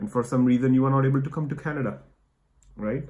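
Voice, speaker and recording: A man speaks with an Indian accent. His tone is dark and mellow. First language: Hindi. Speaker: immigration vlogger. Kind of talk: casual chat.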